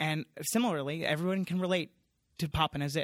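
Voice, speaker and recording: A man with an American accent has an ordinary speaking voice and a fairly high pitch. He keeps a moderate pace with ordinary pitch variation in a very clean recording with a silent background. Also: dry, close sound with no echo. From US Northeast, Long Island, New York. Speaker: TV network executive. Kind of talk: casual chat. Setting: conference venue.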